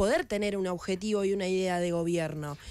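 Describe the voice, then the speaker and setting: The woman's voice has a dry sound with no echo. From Argentina. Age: 20s. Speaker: politician. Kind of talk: radio interview. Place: studio. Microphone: studio mic.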